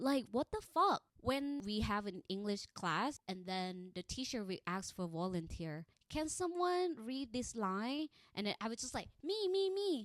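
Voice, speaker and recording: A woman speaks with an American accent at a fairly slow pace, her pitch swinging very widely. The sound is dry and close with no echo. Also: fairly high pitch for a woman. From Thailand. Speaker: podcast host. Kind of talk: casual monologue. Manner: animated.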